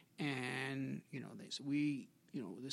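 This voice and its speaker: A man speaks with an American accent in a fairly high pitch. His tone is bright and sharp, with vocal fry. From New York (Brooklyn, Long Island). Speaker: aerospace engineer and author. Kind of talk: interview. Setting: office.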